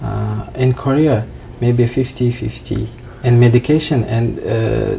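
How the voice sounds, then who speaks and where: A man's flat, monotone delivery at a very slow pace, over noticeable background noise. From Uzbekistan. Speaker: trainee doctor. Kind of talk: interview. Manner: halting.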